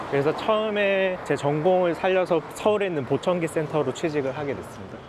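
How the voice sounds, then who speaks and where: Through noticeable background noise, a man talks fairly quickly in a high voice with ordinary pitch variation. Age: 30s. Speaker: hearing aid center owner. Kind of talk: documentary interview.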